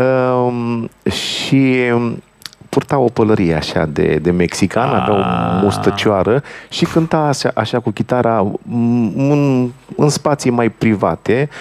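With lively intonation, a man speaks at a very slow pace. His pitch sits in the medium range. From Romania, Bucharest (Rahova). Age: 50s. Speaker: accordionist, band leader. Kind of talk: interview chat between songs.

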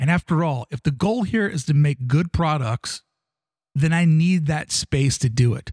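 Here a man talks at a moderate pace with a fairly high pitch. His voice is somewhat breathy, and the sound is dry and close with no echo. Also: ordinary pitch variation. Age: 40s. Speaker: podcaster. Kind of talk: personal monologue.

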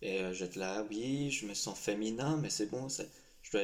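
A man's fairly low voice varies in pitch in an ordinary way as he talks at a moderate pace. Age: 19. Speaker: young LGBT association member. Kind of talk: personal testimony interview. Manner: hesitant, many fillers.

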